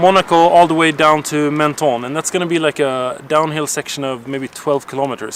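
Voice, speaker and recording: Over noticeable background noise, a man speaks at a fairly quick pace and fairly high pitch with fairly even intonation. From Sweden. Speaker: cycling vlogger. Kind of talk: casual vlog chat.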